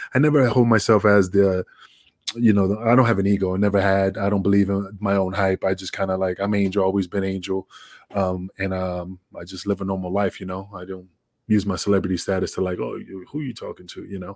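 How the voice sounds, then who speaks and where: Speaking at a fairly quick pace, a man talks in a fairly low pitch. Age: 40s. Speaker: professional wrestler. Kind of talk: casual interview. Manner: animated.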